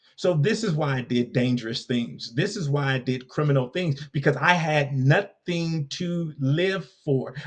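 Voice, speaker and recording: A man with an American accent speaks at a fairly slow pace with hardly any pauses, his fairly high voice somewhat breathy and ordinary in pitch variation. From US West Coast, Compton, California. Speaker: leadership coach and speaker. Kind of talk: podcast interview.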